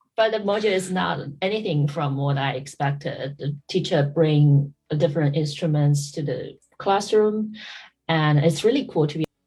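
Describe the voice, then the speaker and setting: An American-accented woman speaks with a very deep, low pitch, a dark, mellow tone, a somewhat breathy quality and lively intonation. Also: moderate pace. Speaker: podcast host. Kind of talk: casual chat. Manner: halting, many fillers.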